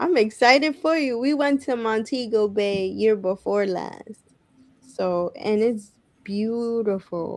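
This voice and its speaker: Pitch moves in an ordinary way. The pace is very slow. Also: woman, fairly high pitch for a woman. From New York City, the Bronx. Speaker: pageant titleholder and speech therapist. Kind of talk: casual chat.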